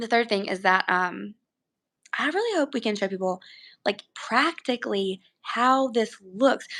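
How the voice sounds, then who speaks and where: A woman's fairly high, bright, sharp voice with an animated tone, ordinary pitch variation, a fairly slow pace and long, frequent pauses. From Alabama. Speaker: podcast co-host. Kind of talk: casual live video podcast chat. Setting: live stream from grandparents' house.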